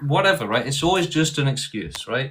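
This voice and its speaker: A man's bright, sharp tone with vocal fry and lively intonation. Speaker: debate streamer. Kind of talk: live-streamed debate.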